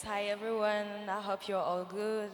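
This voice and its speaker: Amid audible room echo, a woman with a French accent talks at a moderate pace. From Niger. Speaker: nonprofit founder, fellowship alumna. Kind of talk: panel interview on stage. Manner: hesitant, many fillers.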